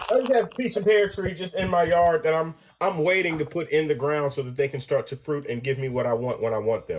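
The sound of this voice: With ordinary pitch variation, a man talks at a fairly quick pace in a fairly high voice.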